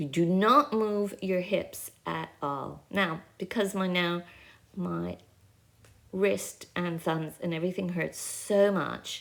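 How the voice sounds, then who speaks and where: Her pace very slow, a woman speaks. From Canada. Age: 60s. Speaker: pilates instructor. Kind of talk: exercise class with casual chat. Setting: friend's house in rural France. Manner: rambling, conversational.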